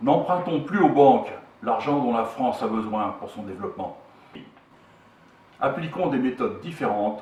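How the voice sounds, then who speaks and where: With audible room echo around him, a man speaks at a moderate pace, his pitch swinging very widely. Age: 60s. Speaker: political movement co-founder. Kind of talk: political statement; self-introduction. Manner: formal.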